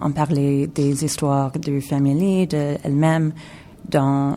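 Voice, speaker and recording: A woman with an English accent, very deep and low in pitch, with a dark, mellow tone, fairly even intonation and a very slow pace. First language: English (speaking French). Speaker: video installation artist. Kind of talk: radio interview. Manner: halting, mixing French and English.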